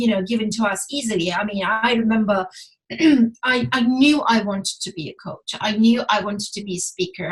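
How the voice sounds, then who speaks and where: This woman talks at a fairly quick pace with a non-native accent and a somewhat breathy sound. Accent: foreign. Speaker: relationship coach. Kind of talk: casual chat. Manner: halting.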